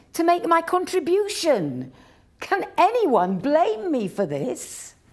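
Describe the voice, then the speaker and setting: Over noticeable background noise, the speech unfolds at a very slow pace with very wide pitch swings. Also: woman. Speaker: actress. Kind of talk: dramatic reading of historical writings.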